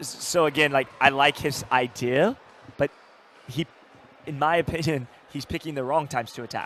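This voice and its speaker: A man's fairly high voice, animated in tone, at a moderate pace with long, frequent pauses, big swings in loudness and noticeable background noise. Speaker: pickleball commentator. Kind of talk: live sports commentary. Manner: animated, repetitive fillers.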